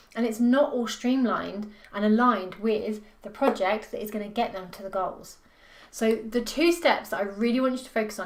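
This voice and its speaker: With ordinary pitch variation and a fairly high pitch, the woman's voice is heard with audible room echo. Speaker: business performance coach. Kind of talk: talking-head tutorial video. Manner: fast; animated, passionate.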